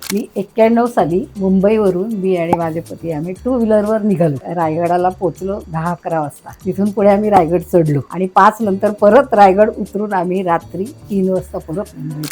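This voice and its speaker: A woman at medium pitch with ordinary pitch variation, music playing in the background. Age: 70s. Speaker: quiz contestant, home-style Indian food caterer in Japan. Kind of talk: interview answer.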